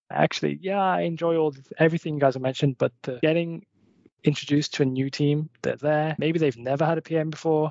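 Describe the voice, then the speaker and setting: A man speaks in a Liverpool accent at a fairly quick pace. His intonation stays fairly even. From Merseyside, England. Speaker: product manager. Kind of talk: panel discussion.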